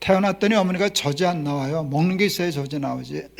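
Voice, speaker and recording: Very fast and high-pitched, a man talks with ordinary pitch variation in a very clean recording with a silent background. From South Korea. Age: 70s. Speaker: pastor. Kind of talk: sermon. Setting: church.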